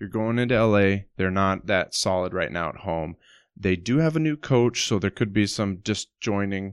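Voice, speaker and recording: A man with an unremarkable speaking voice talks at a moderate pace and a fairly low pitch. His pitch varies in an ordinary way, and the sound is dry and close with no echo. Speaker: podcast co-host. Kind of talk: casual chat.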